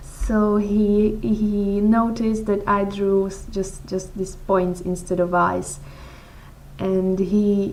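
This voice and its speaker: In a room with audible echo, a woman speaks at a very slow pace and medium pitch, her intonation monotone and flat. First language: not English. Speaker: blogger answering follower questions. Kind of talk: casual Q&A vlog. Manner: halting, frequent repetitions and fillers.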